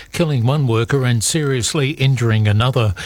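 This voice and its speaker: Somewhat breathy, a man with an Australian accent talks at a medium pitch and moderate pace with ordinary pitch variation. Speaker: news reader. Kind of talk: news reading. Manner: formal.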